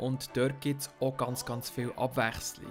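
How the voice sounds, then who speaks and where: With a Swiss accent, a man talks at a moderate pace in a medium pitch and a monotone, flat intonation while music plays in the background. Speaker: podcast host. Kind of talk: casual podcast game review discussion.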